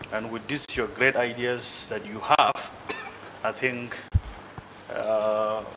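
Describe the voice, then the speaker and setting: Amid noticeable background noise, a man speaks very slowly in a medium pitch with monotone, flat intonation and long, frequent pauses. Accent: Nigerian. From Nigeria. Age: young. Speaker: guest speaker, politically interested diaspora Nigerian. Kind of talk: speech to a group.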